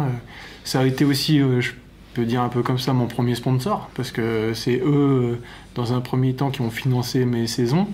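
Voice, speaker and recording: With audible room echo, a man talks at a moderate pace in a medium pitch, his intonation fairly even. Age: 30s. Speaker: olympic kayaker. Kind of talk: documentary interview.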